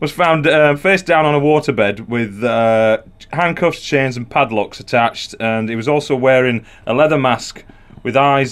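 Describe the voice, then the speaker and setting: The speaker talks at a fairly slow pace in a Yorkshire accent, with ordinary pitch variation. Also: man. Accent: Yorkshire (Barnsley). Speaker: comedian. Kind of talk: casual chat.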